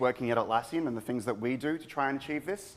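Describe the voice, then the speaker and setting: This man has an Australian accent. He speaks at a medium pitch with ordinary pitch variation. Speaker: product manager giving conference talk. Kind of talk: conference talk.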